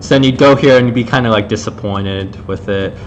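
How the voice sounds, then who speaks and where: A man talks very fast with a fairly low pitch and ordinary pitch variation. Music plays in the background. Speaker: game developer streaming level design commentary. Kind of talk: live gameplay commentary. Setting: live stream. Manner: loud; casual, many fillers.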